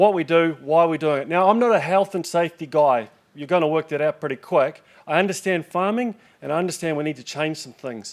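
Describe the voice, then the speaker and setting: Talking at a fairly quick pace with a New Zealand accent, a man with a fairly high voice shows ordinary pitch variation and big swings in loudness. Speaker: farming safety organisation manager. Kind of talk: conference talk. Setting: stage with audience. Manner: fast; casual, joking.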